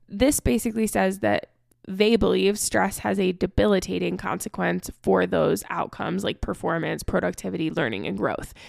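A woman's very deep, low voice with vocal fry, very wide pitch swings and a moderate pace. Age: 20s. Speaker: health and fitness coach, podcast host. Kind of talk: solo podcast monologue. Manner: casual, chatty with filler words.

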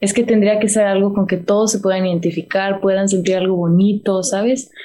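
A woman talks at a moderate pace in a dark, mellow tone with medium pitch. Her intonation stays fairly even. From Texas, McAllen (Rio Grande Valley). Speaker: singer. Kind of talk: interview.

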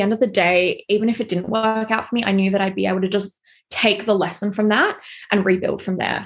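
A woman speaks with a normal speaking voice at a medium pitch. Her intonation stays fairly even. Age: 20s. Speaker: fashion stylist and content creator. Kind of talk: interview.

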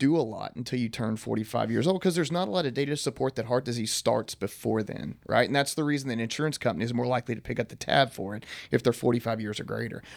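A man talks at a very fast pace in a Texan accent. His pitch is medium, with vocal fry. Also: very clean recording, silent background. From East Texas. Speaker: doctor and health company executive. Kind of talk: casual interview on health. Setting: studio.

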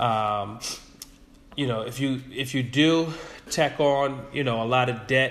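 A man speaks at a fairly slow pace with fairly even intonation. Audible room echo surrounds his voice. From New York area suburbs. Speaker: educator. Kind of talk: interview.

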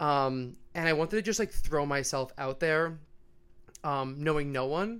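A man with a New York accent speaks at a moderate pace in a fairly high pitch, his tone bright and sharp with ordinary pitch variation, on a very clean recording with a silent background. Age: 20s. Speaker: podcast guest, American expat in Australia. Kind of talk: casual chat.

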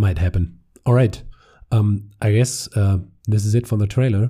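A man with a German accent speaks in a fairly low, somewhat breathy voice with a dark, mellow tone. His pitch varies in an ordinary way on a very clean recording with a silent background. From Germany. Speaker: podcast host. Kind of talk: casual chat. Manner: hesitant, many fillers.

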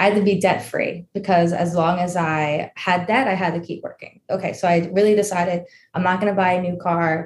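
A woman with a New York accent, a somewhat breathy voice at medium pitch, monotone and flat intonation, a fairly quick pace and hardly any pauses. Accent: American, New York. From New York, US. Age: 20s. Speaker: personal finance influencer. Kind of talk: casual interview.

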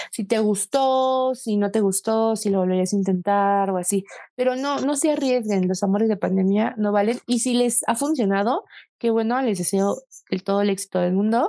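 A woman speaks at a moderate pace and medium pitch in a dark, mellow tone. Her loudness stays very even, with ordinary pitch variation. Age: 20s. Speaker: podcast co-host. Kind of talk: casual chat.

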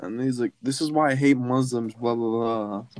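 This is a very clean recording with a silent background and a dry, close sound with no echo. A man talks at medium pitch and a moderate pace. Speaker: podcast host. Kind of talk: casual chat. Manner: animated.

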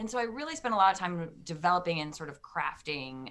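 Speaking with an American accent, a woman has a fairly low pitch, a bright, sharp tone and lively intonation at a fairly quick pace. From US Midwest, Detroit, Michigan. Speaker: leadership coach and first-time author. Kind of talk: interview.

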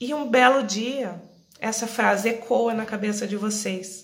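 A woman speaks very slowly with a rural Brazilian accent, her pitch fairly high. Room echo is audible. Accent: Brazilian countryside. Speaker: live-stream wellness host. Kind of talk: live-stream monologue. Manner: conversational.

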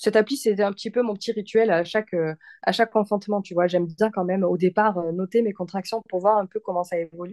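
A woman's dark, mellow tone at medium pitch, fairly quick pace and ordinary pitch variation, dry and close with no echo against a quiet background. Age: 30s. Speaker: mother sharing birth story. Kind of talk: testimony. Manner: animated.

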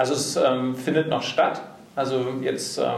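Audible room echo mixed with noticeable background noise. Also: man. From Hesse, Germany (Bad Homburg). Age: 40s. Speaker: career and personal development coach. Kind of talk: interview. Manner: talkative.

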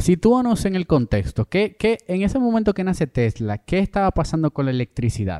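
Talking at a fairly quick pace, a man with a high pitch and a dark, mellow tone moves through very wide pitch swings. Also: hardly any pauses, dry, close sound with no echo. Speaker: podcast host. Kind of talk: casual chat. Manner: animated.

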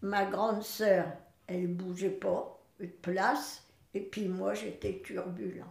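Both audible room echo and noticeable background noise are present. A woman speaks at a medium pitch and a very slow pace, with ordinary pitch variation. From northern France, Boulogne-sur-Mer. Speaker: great-grandmother, retired farmer. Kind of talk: life-story interview, testimony.

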